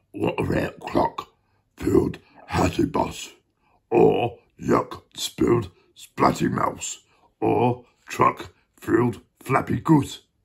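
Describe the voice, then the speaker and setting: In a put-on character voice, a man talks at a very slow pace with long, frequent pauses. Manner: playful character voice in a read-aloud.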